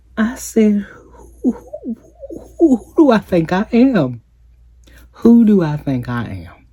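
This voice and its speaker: With music in the background, a woman at a medium pitch speaks at a very slow pace with long, frequent pauses, very wide pitch swings and big swings in loudness. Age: 40s. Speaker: lifestyle vlogger. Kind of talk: casual vlog talk.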